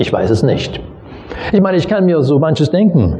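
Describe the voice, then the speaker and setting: Noticeable background noise and audible room echo surround the recording. A man talks at a high pitch and a moderate pace. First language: not German (speaking German). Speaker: pastor. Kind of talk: sermon. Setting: church.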